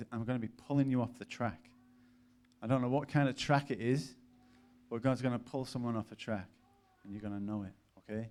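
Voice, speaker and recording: A man with an English accent speaks at a fairly quick pace and medium pitch. His intonation is fairly even, broken by long, frequent pauses. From northern England, Cumbria (Lake District, near Barrow). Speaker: preacher, mission worker. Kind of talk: sermon with personal testimony. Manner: casual, many fillers.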